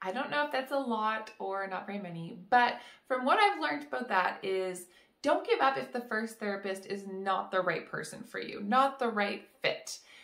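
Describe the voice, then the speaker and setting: A woman speaks at a moderate pace in a quiet background with audible room echo. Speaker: vlogger. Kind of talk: casual vlog chat. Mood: warm, friendly. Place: home room.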